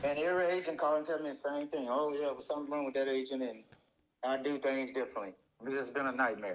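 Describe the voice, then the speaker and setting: Talking at a very fast pace, a man with a fairly high pitch keeps his intonation fairly even. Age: 60s. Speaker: home seller. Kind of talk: phone call.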